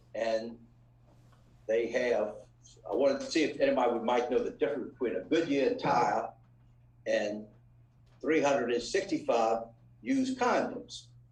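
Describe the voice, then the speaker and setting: A man with an American accent, very even loudness and long, frequent pauses, with audible room echo. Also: moderate pace. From New Orleans, Louisiana. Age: 70s. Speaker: restaurant family member. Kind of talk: lecture. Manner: halting.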